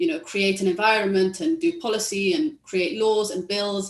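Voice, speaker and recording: A woman talks with a London accent at medium pitch. Her intonation is lively. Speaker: tech policy economist. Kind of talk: panel discussion.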